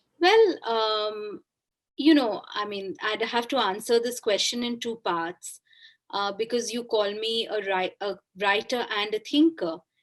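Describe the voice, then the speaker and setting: A woman's fairly high voice carries a Bengali accent. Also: ordinary pitch variation, fairly slow pace. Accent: Indian English, Bengali. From India, Kolkata. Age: 40s. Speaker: author. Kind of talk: interview.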